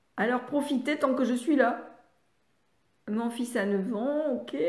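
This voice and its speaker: A woman speaks with ordinary pitch variation. Audible room echo fills the recording. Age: 70s. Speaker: speech therapist and reading educator. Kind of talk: live online training session. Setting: live stream on social media. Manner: halting, many hesitations.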